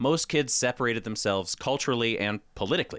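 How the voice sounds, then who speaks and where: A man with an American accent speaks at a medium pitch with lively intonation, on a very clean recording with a silent background. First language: Spanish. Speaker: podcast host. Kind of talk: scripted narration. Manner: reading from notes, animated.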